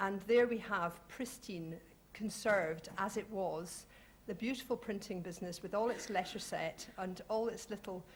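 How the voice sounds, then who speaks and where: A woman with a Scottish accent speaks at a moderate pace in a somewhat breathy, mid-pitched voice with ordinary pitch variation. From Scotland. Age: 40s. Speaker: heritage organisation representative, panelist. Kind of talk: panel discussion talk.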